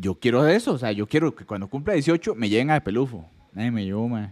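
Here is a man with an unremarkable speaking voice, medium pitch and ordinary pitch variation, talking at a fairly quick pace. The recording is very clean with a silent background and a dry, close sound with no echo. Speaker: podcast host. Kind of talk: casual chat.

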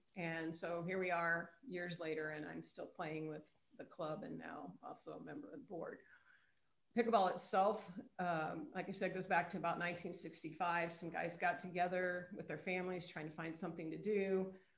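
There is audible room echo around this woman's voice. She speaks at a moderate pace with a fairly low pitch. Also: ordinary pitch variation. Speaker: pickleball club president, retired PE teacher. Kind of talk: interview.

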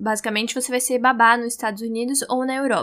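Her tone bright and sharp, a woman speaks at a high pitch. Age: 20s. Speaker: journalism student, podcaster. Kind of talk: solo monologue, personal diary.

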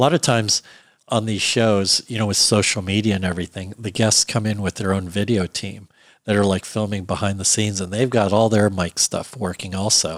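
Speaking with an American accent, a man uses an unremarkable speaking voice, fairly low in pitch, with fairly even intonation and a fairly quick pace. The sound is dry and close with no echo, very clean over a silent background. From US, Virginia (Alexandria). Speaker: production sound mixer and director. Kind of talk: interview conversation.

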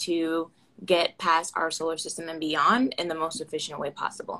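In a normal speaking voice, a woman with an American accent talks at a fairly low pitch and a moderate pace. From Florida, US (Orlando). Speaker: aerospace engineering PhD student. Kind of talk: casual interview. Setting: Instagram Live video call.

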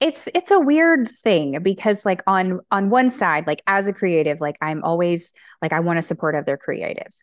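A woman with an American accent at a medium pitch, very wide pitch swings and a moderate pace, hardly any pauses, and a dry, close sound with no echo over a quiet background. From US South, Alabama. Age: 30s. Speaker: author and English teacher. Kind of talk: casual chat.

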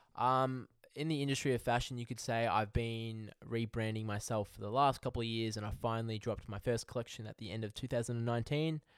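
Over a silent background on a very clean recording, a man speaks at a very fast pace with fairly even intonation and hardly any pauses. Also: medium pitch for a man. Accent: Australian. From Australia. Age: 20s. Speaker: podcast host. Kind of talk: casual monologue.

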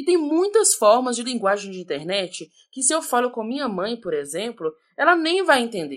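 A woman talks in a high voice at a moderate pace. Her pitch swings very widely. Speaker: sociology educator, podcast host. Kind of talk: scripted narration. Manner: casual, conversational.

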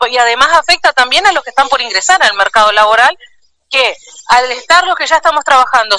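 A woman's high, raised, projected voice, with lively intonation at a fairly quick pace. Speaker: trade union leader. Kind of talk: interview.

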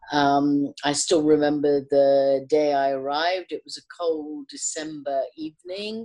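A woman's very deep, low voice at a fairly slow pace, fairly even in intonation but with big swings in loudness. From west London, England (raised from age five, born in Kenya). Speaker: women's rights activist. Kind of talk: interview. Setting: video call.

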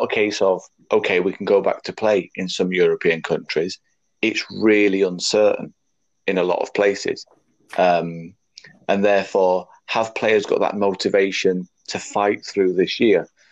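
A man with a Yorkshire accent, at a fairly slow pace. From Leeds, northern England. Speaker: rugby league administrator and podcast co-host. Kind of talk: casual chat.

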